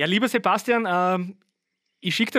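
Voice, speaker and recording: The tone is bright and sharp, with ordinary pitch variation and a moderate pace. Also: man. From Austria, Styria (Birkfeld). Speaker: drummer. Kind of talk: casual interview. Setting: remote call from parents' ranch.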